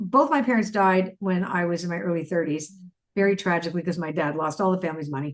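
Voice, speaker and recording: A woman with a Canadian accent at a very fast pace, her pitch fairly low, with ordinary pitch variation. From Canada. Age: 60s. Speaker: spiritual author and oracle expert. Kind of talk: interview conversation. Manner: animated.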